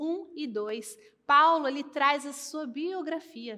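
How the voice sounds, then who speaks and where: Ordinary pitch variation in a woman's raised, projected voice with a bright, sharp tone. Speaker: pastor. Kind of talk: sermon.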